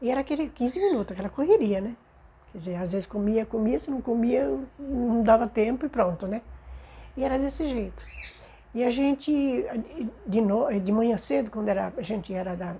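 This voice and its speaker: A woman at a fairly high pitch with vocal fry and a dark, mellow tone, lively intonation, a moderate pace, and long, frequent pauses. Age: 70s. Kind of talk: oral history interview answer.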